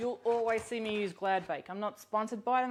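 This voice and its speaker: The speaker has an Australian accent. The pace is fairly quick. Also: woman. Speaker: cookbook author and cooking host. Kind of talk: live cooking demonstration. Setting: home kitchen, live stream. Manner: casual, with many fillers.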